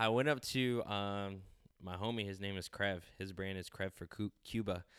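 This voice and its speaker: In a very clean recording with a silent background and a dry, close sound with no echo, a man with an American accent and a normal speaking voice talks at a moderate pace, fairly low in pitch, with fairly even intonation. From California. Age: 20s. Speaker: clothing designer. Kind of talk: casual interview.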